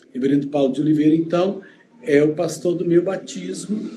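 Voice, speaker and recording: This is a man's voice. It sits fairly high in pitch with ordinary pitch variation. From Goiânia, Brazil (born in Uberlândia). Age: 60s. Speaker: pastor. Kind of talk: interview.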